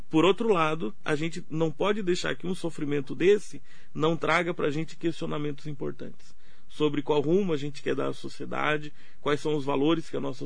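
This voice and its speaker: Audible room echo surrounds a man talking at a fairly quick pace and fairly high pitch. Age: 70s. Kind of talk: radio interview.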